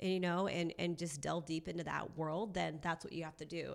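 A woman talks very fast with a Californian accent. Her pitch sits fairly low, and her intonation stays fairly even. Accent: Californian American. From Southern California, Orange County. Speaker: sports and entertainment reporter. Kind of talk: casual chat. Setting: studio.

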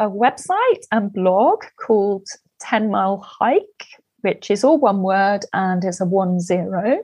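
Her delivery is very slow, with a medium pitch for a woman and ordinary pitch variation. The voice is somewhat breathy. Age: 50s. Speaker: hiker. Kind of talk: casual chat. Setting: video call.

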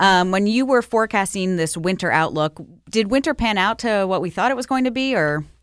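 A woman speaks with an American accent in a plain, everyday voice at a medium pitch. Her pace is fairly quick and her intonation lively. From Buffalo, New York. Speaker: podcast host. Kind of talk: casual interview.

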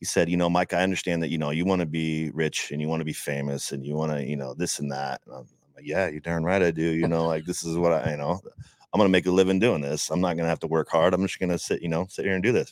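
Speaking at a very fast pace with hardly any pauses, a man uses a very deep, low pitch. His intonation stays fairly even. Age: 40s. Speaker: ring announcer. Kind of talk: casual chat.

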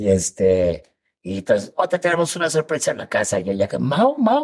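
A man talks at a moderate pace with a Mexican accent. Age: 40s. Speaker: comedian and actor. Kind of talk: casual chat.

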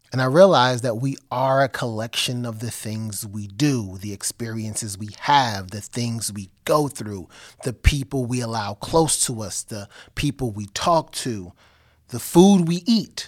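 In a normal speaking voice at medium pitch, a man speaks fairly slowly with lively intonation and big swings in loudness. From New Jersey (Elizabeth). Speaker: podcast host. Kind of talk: solo monologue; casual interview.

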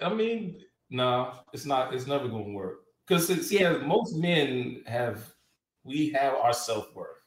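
With very wide pitch swings, a man talks fairly slowly while audible room echo surrounds him. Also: fairly high pitch for a man. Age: 40s. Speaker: podcast co-host. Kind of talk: casual chat.

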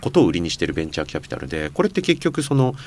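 Vocal fry runs through this man's medium-pitched voice. He talks at a very fast pace with very wide pitch swings. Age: 40s. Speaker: company founder and chairman. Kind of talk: casual interview.

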